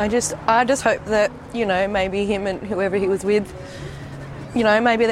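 Over noticeable background noise, the speaker uses fairly even intonation in an Australian accent. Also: woman. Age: 20s. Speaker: daughter of a missing gang leader. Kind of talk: interview testimony.

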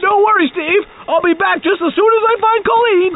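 At a fairly quick pace, the voice sits at an extremely high pitch over light background noise. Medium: audio drama. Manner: whiny, naive, cheerful.

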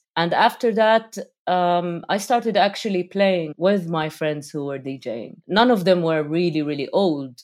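A woman with an Arabic accent speaks at a fairly slow pace with hardly any pauses, her fairly low pitch and lively intonation heard against a silent background in a very clean recording. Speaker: rapper, producer and DJ. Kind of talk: interview conversation.

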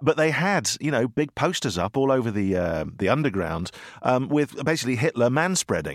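In a British accent, a man talks at a moderate pace with very wide pitch swings and vocal fry, on a very clean recording with a silent background and a dry, close sound with no echo. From Britain. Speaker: podcast host and author. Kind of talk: casual chat.

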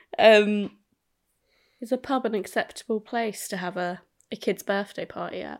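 A woman's fairly high voice with an English accent, vocal fry, ordinary pitch variation and big swings in loudness, at a moderate pace with long, frequent pauses, on a very clean recording with a silent background. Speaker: podcast co-host, parent. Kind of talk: casual chat.

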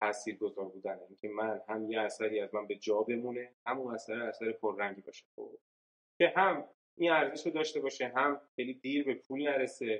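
The pace is very fast. A man talks at a medium pitch. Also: ordinary pitch variation. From Iran, Yazd. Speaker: startup founder and CEO. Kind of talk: interview conversation.

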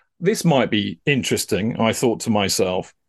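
Against a quiet background, a man with an English accent talks at a fairly quick pace with very wide pitch swings. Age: 50s. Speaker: psychotherapist and counsellor, former TV producer. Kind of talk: casual chat.

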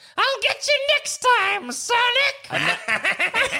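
The pitch here is extremely high. It comes from a put-on character voice. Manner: boastful, vengeful, heavy breathing.

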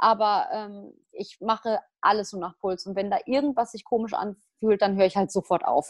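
In a dry, close recording with no echo and a quiet background, a woman speaks at a moderate pace in an unremarkable speaking voice. Her pitch is medium with ordinary variation, while her loudness swings widely. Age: 20s. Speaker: triathlete and physiotherapist. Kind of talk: casual interview.

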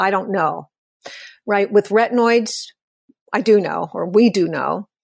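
A woman at a medium pitch with vocal fry and a fairly slow pace, in a very clean recording with a silent background. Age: 70s. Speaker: former magazine beauty director. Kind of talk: interview.

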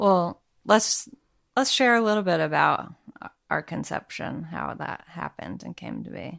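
A woman speaks at a fairly slow pace, her loudness swinging widely. The recording is very clean, with a silent background. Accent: slight Southern US. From Arkansas. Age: 30s. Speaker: podcast co-host, new parent. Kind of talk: casual chat. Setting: home living room. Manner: quiet.

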